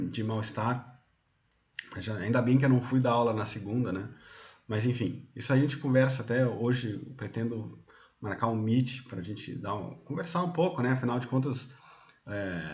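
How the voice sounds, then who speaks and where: A somewhat breathy voice at a moderate pace with long, frequent pauses and ordinary pitch variation, with audible room echo. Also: man, medium pitch for a man. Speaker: university lecturer. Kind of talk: lecture. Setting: online class from home.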